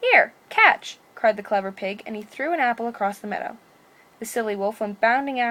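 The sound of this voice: An unforced reading voice, its pitch shifting an ordinary amount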